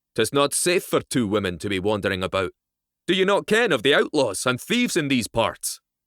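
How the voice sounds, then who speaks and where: Putting on a gruff character voice, a man talks at a fairly quick pace in a medium pitch with very wide pitch swings, recorded very clean with a silent background and a dry, close sound with no echo. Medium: read story. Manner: gruff, direct.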